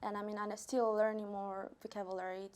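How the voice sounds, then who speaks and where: The speaker is a woman with a Peruvian accent. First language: Spanish. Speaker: college student. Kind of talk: interview. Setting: studio. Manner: hesitant.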